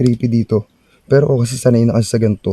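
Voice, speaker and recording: Recorded dry and close with no echo, a man with a dark, mellow tone talks at a medium pitch with fairly even intonation. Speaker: ghost-hunting vlogger. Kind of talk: night exploration vlog. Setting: outdoors at night on forest stairs.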